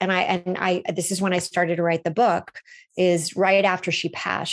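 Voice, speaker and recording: Over a quiet background, a woman with an American accent speaks at a medium pitch. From Los Angeles, US. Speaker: relaunch coach. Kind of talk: interview. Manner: animated.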